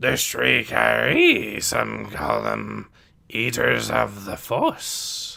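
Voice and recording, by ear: A man speaks very slowly in a put-on character voice at medium pitch, with very wide pitch swings. His tone is bright and sharp, with vocal fry.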